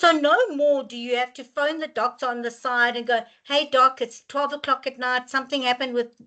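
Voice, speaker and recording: Against a quiet background, a woman projects a raised, high voice with a bright, sharp tone at a fairly quick pace. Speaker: webinar facilitator. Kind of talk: webinar Q&A answer. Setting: online webinar. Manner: animated; loud.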